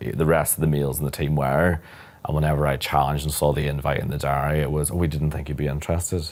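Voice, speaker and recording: A man's very deep, low, monotone voice in a Northern Irish accent, very fast, with noticeable background noise. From Northern Ireland, near Belfast. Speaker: corporate lawyer. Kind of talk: interview conversation.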